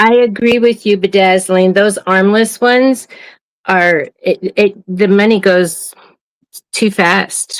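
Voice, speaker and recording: A woman of medium pitch speaks very slowly in an American accent. Her loudness stays very even and her intonation fairly even. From US Midwest (Wisconsin, Illinois). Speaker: livestream co-host. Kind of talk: casual chat.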